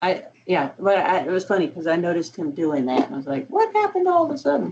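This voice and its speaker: Words come out at a very fast pace. The speaker has a Southern US accent. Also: woman. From US South. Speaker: university instructor. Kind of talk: office hours chat.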